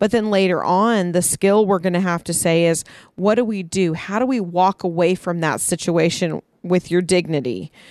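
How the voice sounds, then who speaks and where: The woman has a normal speaking voice, pitched fairly low, with ordinary pitch variation and a moderate pace. The background is quiet, and the sound is dry and close with no echo. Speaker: podcast co-host. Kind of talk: casual chat. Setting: backyard, outdoors.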